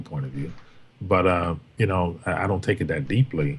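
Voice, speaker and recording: This man's intonation is lively and his delivery fairly quick, with noticeable background noise around him. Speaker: former co-host. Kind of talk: casual chat. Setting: livestream with chat. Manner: carefully enunciated.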